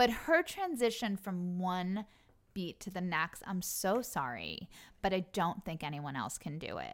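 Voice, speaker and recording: An ordinary speaking voice at a fairly slow pace, with lively intonation. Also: woman, medium pitch for a woman, very clean recording, silent background. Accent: American. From US Northeast, Long Island. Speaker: actress and show creator. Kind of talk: casual chat. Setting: host's home.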